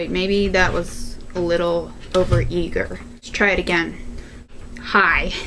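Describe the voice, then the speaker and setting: The loudness swings widely, with audible room echo and noticeable background noise. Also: woman, fairly slow pace. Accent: Chicago. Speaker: video blogger. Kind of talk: Q&A vlog. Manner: animated.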